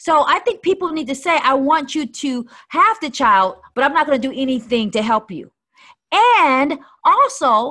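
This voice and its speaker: A woman speaks at a fairly slow pace in a raised, projected voice. Her tone is animated, bright and sharp. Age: 50s. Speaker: life strategist and minister. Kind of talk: casual chat.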